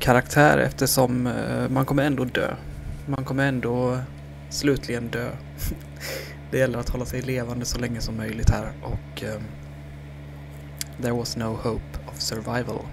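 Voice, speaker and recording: A soft-spoken man of medium pitch with very wide pitch swings, a moderate pace and long, frequent pauses, amid audible room echo and noticeable background noise. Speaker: gaming YouTuber. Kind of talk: let's play commentary. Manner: halting.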